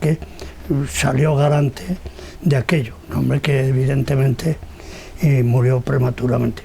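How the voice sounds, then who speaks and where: Moderate pace, long and frequent pauses, and noticeable background noise. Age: 80s+. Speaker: retired newspaper founder. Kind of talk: interview. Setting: at home. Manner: halting.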